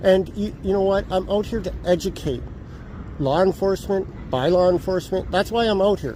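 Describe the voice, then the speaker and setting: A man with a Canadian accent speaks at a fairly quick pace, with a high pitch and ordinary pitch variation. Noticeable background noise runs underneath. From Edmonton, Alberta, Canada. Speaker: self-published author, street book seller. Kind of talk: street conversation with officer. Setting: outdoors on a city street. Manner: loud.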